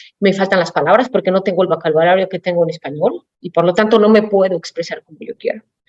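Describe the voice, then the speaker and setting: Recorded dry and close with no echo, a woman speaks very fast at medium pitch with fairly even intonation. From Mexico City. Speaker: automotive executive. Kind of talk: panel talk.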